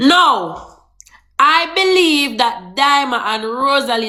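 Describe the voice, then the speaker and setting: A speaker with a Jamaican accent uses very wide pitch swings, with audible room echo. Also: woman. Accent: Jamaican Patois. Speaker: social media gossip reporter. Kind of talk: casual live-stream gossip talk. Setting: TikTok live stream.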